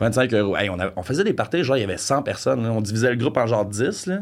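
His pitch sits in the medium range. The man speaks fairly quickly. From Franco-Ontario, Canada. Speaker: podcast guest. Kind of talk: casual chat, storytelling.

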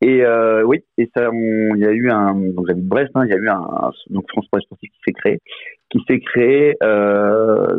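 With monotone, flat intonation, a man talks at a fairly slow pace. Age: 40s. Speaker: former professional sports bettor. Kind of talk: casual interview. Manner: halting, repeats words.

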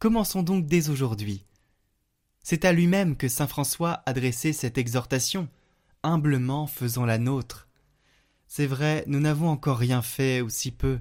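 On a very clean recording with a silent background, a fairly high-pitched man speaks fairly slowly in a gentle, solemn tone, with long, frequent pauses. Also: ordinary pitch variation. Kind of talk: fervent prayer, intercessory prayer and devotional reading. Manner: slow, solemn, reverent; gentle, heartfelt, intimate.

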